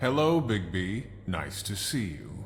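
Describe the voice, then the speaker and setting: A man's put-on character voice, sing-song and fairly low in pitch, at a fairly slow pace with music in the background. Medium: video game. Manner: coy, sing-song rhyming.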